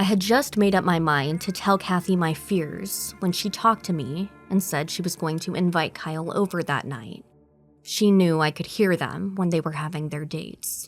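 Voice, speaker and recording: Music plays in the background. A woman speaks at a fairly low pitch with ordinary pitch variation. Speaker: narrator and producer. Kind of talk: horror story narration.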